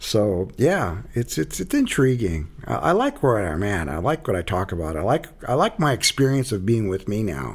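On a very clean recording with a silent background, a man with an American accent speaks at a fairly low pitch, using very wide pitch swings and vocal fry. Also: moderate pace. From Arizona. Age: 60s. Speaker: author and healing circle facilitator in recovery. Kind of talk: casual interview conversation.

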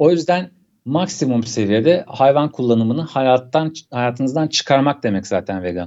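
A man speaks in a normal speaking voice with a medium pitch. His pace is moderate. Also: lively intonation. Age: 30s. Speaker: documentary graphics animator and cyclist. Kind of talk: casual interview.

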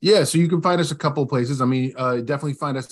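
Speaking very fast with an American accent, a man uses ordinary pitch variation over a quiet background. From West Virginia. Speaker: business owner. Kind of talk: interview.

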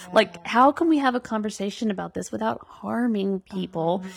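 Music plays in the background as a woman speaks with an American accent. Her intonation is lively. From Arkansas, US South. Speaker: political candidate. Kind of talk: casual interview.

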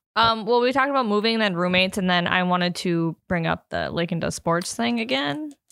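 A woman speaks at a medium pitch and a fairly quick pace. Her pitch swings very widely. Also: hardly any pauses. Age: 20s. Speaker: podcast host. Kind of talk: casual chat.

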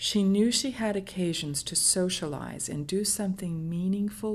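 A woman's fairly low voice at a fairly slow pace. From United States. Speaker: social worker. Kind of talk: storytelling, reading a case study. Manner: halting.

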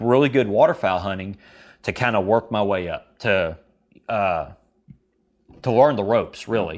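With ordinary pitch variation, a man talks at a moderate speed. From Kentucky. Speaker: duck and goose call maker, competition caller. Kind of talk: casual interview chat. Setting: remote call, self-recorded.

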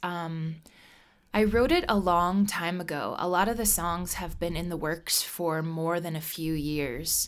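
In a very clean recording with a silent background, a woman with an unremarkable speaking voice and an American accent talks at a fairly slow pace, her fairly low pitch showing ordinary pitch variation. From Nebraska, US Midwest. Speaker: singer-songwriter. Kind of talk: interview.

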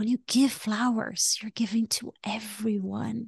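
A woman speaks at a fairly slow pace in a fairly high, somewhat breathy voice. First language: not English. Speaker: life coach. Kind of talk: casual chat. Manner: animated.

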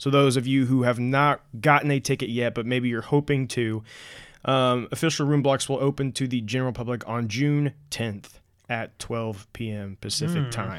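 A man talks at a moderate pace in a normal speaking voice of medium pitch with fairly even intonation, captured in a very clean recording with a silent background. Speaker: podcast host.

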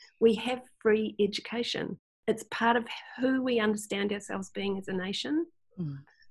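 With a New Zealand accent, a woman speaks at a moderate pace and a fairly high pitch. Her voice is somewhat breathy, with ordinary pitch variation. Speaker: Jungian healer and teacher. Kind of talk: casual chat.

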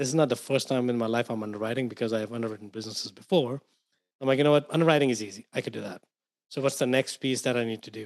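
A man with an Indian accent talks very fast at a medium pitch. His pitch varies in an ordinary way, while his loudness swings widely. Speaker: investor and author. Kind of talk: casual interview.

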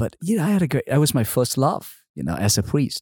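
A somewhat breathy voice with a Vietnamese accent makes very wide pitch swings. The recording is very clean, with a silent background and a dry, close sound with no echo. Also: man. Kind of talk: interview testimony.

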